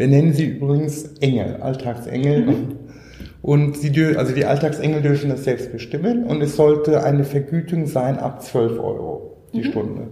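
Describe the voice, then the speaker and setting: With audible room echo, a man speaks in a fairly high pitch using ordinary pitch variation. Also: moderate pace. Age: 40s. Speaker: social entrepreneur, company founder. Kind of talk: interview.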